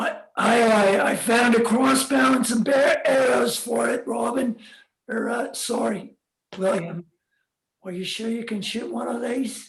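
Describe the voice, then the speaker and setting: In a raspy, put-on character voice, the speaker goes at a fairly slow pace with fairly even intonation. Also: man, extremely high pitch for a man. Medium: audio drama. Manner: hesitant, stammering.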